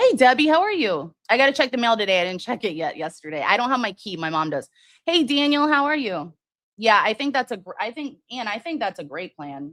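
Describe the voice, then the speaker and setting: A woman speaks in a fairly high pitch with vocal fry, her pitch swinging very widely and her loudness shifting a lot. The recording is very clean, with a silent background. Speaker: true crime livestream host. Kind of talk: casual livestream commentary with chat. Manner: hesitant, many fillers and restarts.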